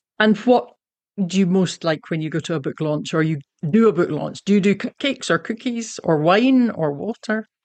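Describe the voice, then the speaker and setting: Lively intonation and a Scottish accent carry this moderate-paced speech, recorded with a dry, close sound with no echo over a quiet background. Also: woman, medium pitch for a woman. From Scotland. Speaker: podcast host and young adult novelist. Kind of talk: casual interview; scripted outro.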